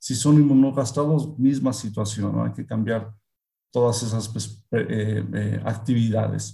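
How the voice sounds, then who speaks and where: A man speaks at a fairly slow pace. He has a Mexican accent. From central Mexico (Hidalgo). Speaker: veterinarian and pig nutrition expert. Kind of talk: interview.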